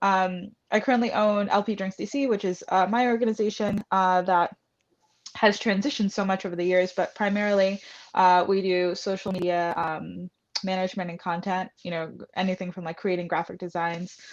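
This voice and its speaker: Against a quiet background, the voice moves at a fairly quick pace with fairly even intonation. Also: woman, medium pitch for a woman. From New York City (Bronx). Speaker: bartender and hospitality entrepreneur. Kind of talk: interview.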